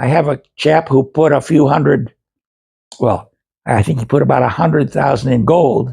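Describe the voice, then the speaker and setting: A man speaks at a moderate pace in a dark, mellow tone with vocal fry, his loudness very even. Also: medium pitch for a man, ordinary pitch variation. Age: 80s+. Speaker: video blogger on investing. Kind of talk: casual monologue to camera. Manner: halting, many fillers and repeats.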